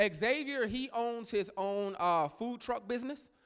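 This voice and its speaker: With an American accent, a man speaks loud in an animated tone. His pitch variation is ordinary. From Texas. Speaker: pastor. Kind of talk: sermon. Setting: church. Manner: loud, animated.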